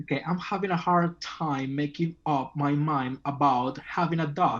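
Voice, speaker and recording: Speaking fairly slowly, a man talks with a Spanish accent. His pitch is fairly high, and his intonation stays fairly even. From Venezuela. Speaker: language student. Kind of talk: casual online English lesson.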